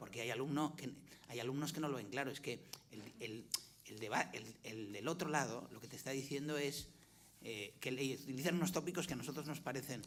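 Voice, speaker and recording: Audible room echo colors the voice of a man with a Valencian accent who uses ordinary pitch variation. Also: fairly high pitch for a man. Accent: Valencian accent in Catalan, keeps it. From Valencia, Spain. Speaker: former university rector, panelist. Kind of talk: panel discussion. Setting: conference with audience, streamed. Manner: halting, many repetitions and fillers.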